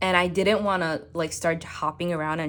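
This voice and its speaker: There is vocal fry in this woman's voice as she speaks at a moderate pace. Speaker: planner YouTuber. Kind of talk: casual chat. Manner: halting.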